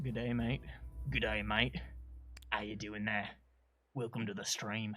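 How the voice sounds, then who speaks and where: A man puts on a character voice with an Australian accent, raspy and fairly low in pitch. He talks at a moderate pace over background music. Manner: friendly, greeting.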